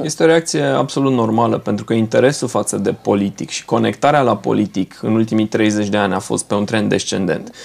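A man with a normal speaking voice talks at a fairly quick pace with lively intonation, a fairly low pitch and hardly any pauses. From Romania, Brașov; Romania. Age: 40s. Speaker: politician. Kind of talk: TV interview. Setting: studio. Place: studio.

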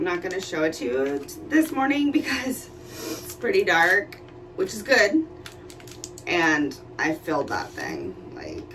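A woman's voice with big swings in loudness over light background noise. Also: fairly slow pace. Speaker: vlogger. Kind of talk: casual vlog chat. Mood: excited, nervous. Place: kitchen.

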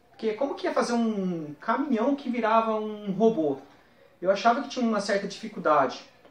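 Room echo can be heard. The pace stays moderate. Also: man. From interior of São Paulo state, Brazil (Marília); São Paulo state, Brazil. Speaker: toy collector; guest. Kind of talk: personal reminiscence to camera. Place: home room.

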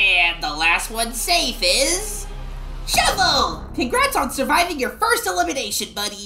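A put-on character voice sits at a high pitch. It moves at a moderate pace. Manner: brash, impatient, cheerful.

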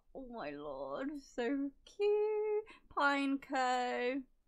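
Against a quiet background, a woman with an English accent and a high pitch speaks at a very slow pace. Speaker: YouTuber opening trading cards. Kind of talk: casual unboxing commentary. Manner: low-key, little reaction.

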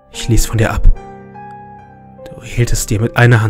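A man talks at a moderate pace while music plays in the background. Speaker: creepypasta narrator. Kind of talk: horror story narration.

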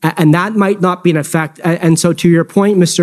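Man's voice, quiet background. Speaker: lawyer cross-examining. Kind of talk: courtroom cross-examination. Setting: public inquiry hearing. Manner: formal, polite but probing; measured, with frequent hesitations and restarts. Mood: measured, formal. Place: hall. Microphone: podium.

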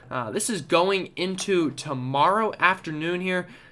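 The voice has a bright, sharp tone in a very clean recording with a silent background. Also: man. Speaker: weather YouTuber and forecaster. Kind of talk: weather forecast briefing. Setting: home or studio video recording with screen-shared maps. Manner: explanatory, conversational, fairly casual; filler-heavy, with frequent uh and um.

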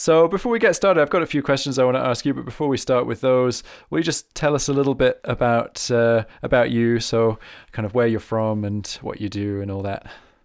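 A man speaks in an ordinary speaking voice at a medium pitch, with ordinary pitch variation and a quiet background. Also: fairly quick pace. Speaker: harmonica teacher and podcast host. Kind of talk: casual interview.

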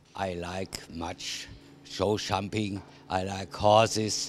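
A man with an Austrian accent speaks very slowly at a fairly low pitch, his intonation monotone and flat. The sound is dry with no echo, over light background noise. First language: German. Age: 70s. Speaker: show jumper. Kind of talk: interview answer. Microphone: handheld.

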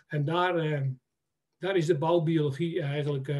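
Very slow in pace, a man talks at fairly high pitch. The background is quiet. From Netherlands, Friesland (Harlingen); Friesland, Netherlands. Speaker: timber merchant and building biologist; webinar presenter. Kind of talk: presentation. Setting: web seminar. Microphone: video call.

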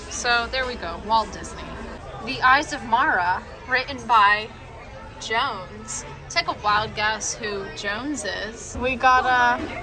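Against crowd noise in the background, a high-pitched woman speaks at a very slow pace with ordinary pitch variation and big swings in loudness. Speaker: vlogger. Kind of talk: casual vlog chat. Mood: playful, excited. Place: cafe. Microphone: phone near.

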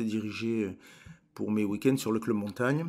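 A man speaks at a fairly slow pace with ordinary pitch variation, captured in a very clean recording against a silent background. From Hautes-Pyrénées, southwest France. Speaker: mountain guide and trekking company founder. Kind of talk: interview storytelling. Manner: halting, with word repetitions.

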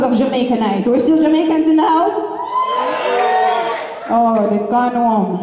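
A woman speaks with long, frequent pauses. Loud background noise and audible room echo fill the recording. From Jamaica. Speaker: event host. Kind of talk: live event speech to audience. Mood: playful, upbeat. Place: stage.

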